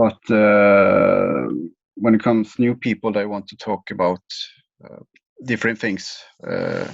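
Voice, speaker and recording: With a Swedish accent, a man speaks at a fairly slow pace, leaving long, frequent pauses. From Sweden, small west coast town. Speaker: leader of a group for highly sensitive people. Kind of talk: interview answer. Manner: hesitant, halting.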